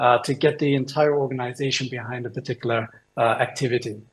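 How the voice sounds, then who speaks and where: A man's fairly high, somewhat breathy voice with a British accent at a very fast pace. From United Kingdom. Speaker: innovation consultant. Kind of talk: presentation talk. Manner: hesitant, many fillers.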